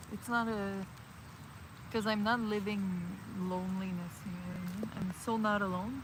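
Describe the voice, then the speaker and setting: Noticeable background noise runs through the clip. A woman speaks at a moderate pace over it. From Montreal, Canada. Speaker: vlogger / livestreamer. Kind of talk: casual talk to camera, chill hangout vlog. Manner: soft-spoken, relaxed.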